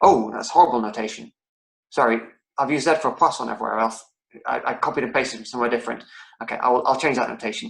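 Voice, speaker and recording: A man speaks at a very fast pace, with big swings in loudness. He leaves long, frequent pauses. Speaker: lecturer. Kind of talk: online lecture. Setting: online lecture. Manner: halting, many repetitions.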